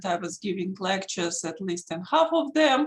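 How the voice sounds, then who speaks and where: Lively intonation runs through this voice, which carries a strong Russian accent. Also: woman. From Russia, Saint Petersburg. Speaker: intellectual property attorney. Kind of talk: lecture.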